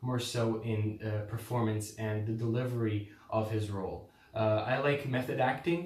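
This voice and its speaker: The speaker is a man. There is noticeable background noise. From Croatia. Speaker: drama student applicant. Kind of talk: audition statement to camera. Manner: hesitant.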